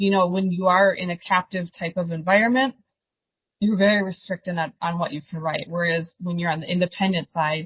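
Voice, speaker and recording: A woman with an American accent speaks at a fairly quick pace, her pitch fairly low. Her voice is somewhat breathy and her intonation fairly even. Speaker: insurance agency owner. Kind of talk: podcast interview.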